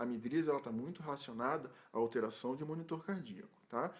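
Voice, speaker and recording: A man at a very fast pace with lively intonation. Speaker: ICU nurse educator. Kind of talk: recorded tutorial talk. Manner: halting, with repetitions.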